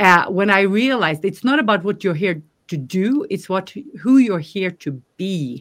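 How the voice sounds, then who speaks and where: A woman with a Norwegian accent, medium pitch, lively intonation and a moderate pace. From Norway. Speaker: life coach. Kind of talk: interview.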